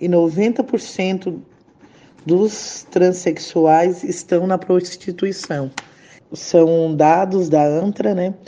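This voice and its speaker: A woman speaks at a very slow pace, with a fairly low pitch. Her tone is dark and mellow, and her pitch varies in an ordinary way. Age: 30s. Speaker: trade unionist. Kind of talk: interview.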